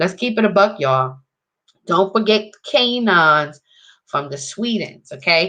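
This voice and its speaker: In a New York accent, a woman talks at a moderate pace with an animated tone and very wide pitch swings. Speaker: video blogger. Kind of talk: casual monologue.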